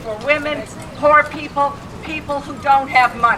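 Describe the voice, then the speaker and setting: A woman's raised, projected voice at a high pitch, with noticeable background noise. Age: old. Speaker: activist speaker. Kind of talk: rally speech.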